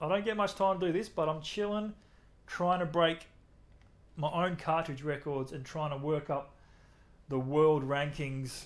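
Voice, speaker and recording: With an Australian accent and a relaxed tone, a man speaks at a fairly slow pace, with ordinary pitch variation and long, frequent pauses. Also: fairly high pitch for a man. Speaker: gaming streamer. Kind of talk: live game stream chat. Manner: casual, relaxed.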